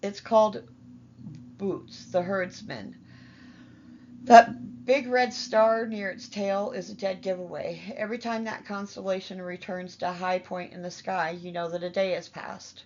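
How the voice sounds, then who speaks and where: Using a raspy, put-on character voice, a woman speaks at a moderate pace and medium pitch, with ordinary pitch variation and big swings in loudness. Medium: read story. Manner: wry, cackling.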